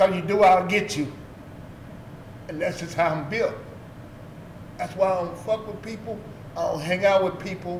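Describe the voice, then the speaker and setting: Audible room echo and noticeable background noise, plus ordinary pitch variation. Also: man. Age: 60s. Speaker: former street figure and youth sports coach. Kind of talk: interview. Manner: blunt and profane.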